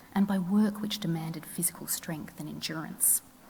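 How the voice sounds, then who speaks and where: A soft-spoken woman with a fairly low pitch and fairly even intonation, amid noticeable background noise. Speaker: historian. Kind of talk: lecture.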